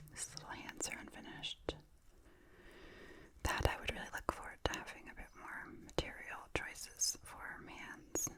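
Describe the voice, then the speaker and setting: A woman whispers at a moderate pace, with long, frequent pauses. Her loudness swings widely, and there is noticeable background noise. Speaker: puppet maker. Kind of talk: ASMR show and tell. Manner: whispered.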